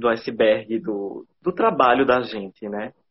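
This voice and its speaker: Ordinary pitch variation from a man talking at a fairly slow pace. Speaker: professor and media researcher. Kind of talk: casual interview. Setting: Instagram live video call. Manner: slow, measured pace.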